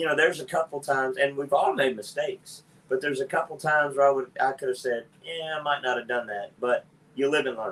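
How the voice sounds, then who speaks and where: Talking at a very fast pace, a man with a fairly high pitch keeps his intonation fairly even. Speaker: podcast host and father. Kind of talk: casual family chat. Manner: loud.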